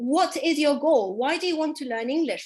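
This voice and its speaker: A woman's high voice is heard with a quiet background. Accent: British. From Dubai, UAE. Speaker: English teacher. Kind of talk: online class. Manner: animated.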